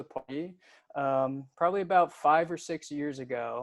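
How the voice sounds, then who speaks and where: A man with an American accent speaks at a moderate pace. Music runs in the background. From United States. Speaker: football fan guest. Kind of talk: casual chat.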